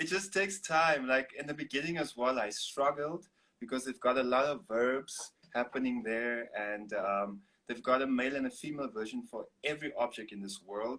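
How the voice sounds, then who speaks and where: In a South African accent, a man talks at a moderate pace with a bright, sharp tone, medium pitch and ordinary pitch variation. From Namibia. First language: Afrikaans. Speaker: singer-songwriter and artist. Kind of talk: interview.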